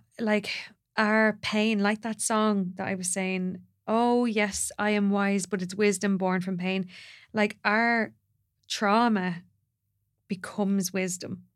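A woman speaks very slowly in a monotone, flat intonation, her pitch medium, with long, frequent pauses. The recording is very clean with a silent background. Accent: Irish. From Ireland. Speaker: doula and women's ceremony facilitator. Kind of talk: casual chat.

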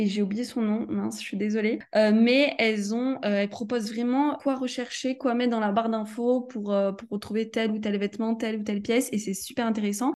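A woman talks at a fairly quick pace with hardly any pauses. Her pitch is fairly high and her intonation fairly even. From Provence, southern France. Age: 20s. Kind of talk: interview. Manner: hesitant, many fillers.

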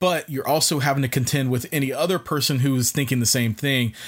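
A man speaks at a fairly high pitch in a somewhat breathy voice with ordinary pitch variation, in a very clean recording with a silent background. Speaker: podcast co-host. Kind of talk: casual chat. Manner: speeds up when excited.

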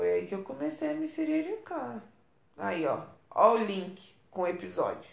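With audible room echo, a woman speaks at a moderate pace, leaving long, frequent pauses. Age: 30s. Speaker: podcast host. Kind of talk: casual monologue. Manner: animated.

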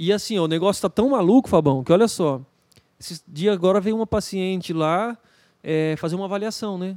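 With lively intonation, a high-pitched man speaks in a dry, close sound with no echo. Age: 40s. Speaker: dentist. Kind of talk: casual chat.

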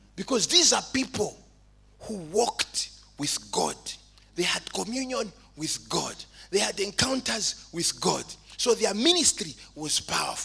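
The speaker has an animated, bright, sharp tone with very wide pitch swings, moving at a fairly slow pace with long, frequent pauses. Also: man, high pitch for a man. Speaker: preacher. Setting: church. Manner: animated, fervent, exhortative; humorous, conversational asides.

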